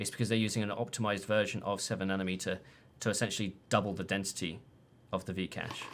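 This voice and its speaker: A man with a British accent, fairly low-pitched, very fast, in a flat monotone. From Britain. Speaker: tech analyst. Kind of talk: casual chat. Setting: live stream.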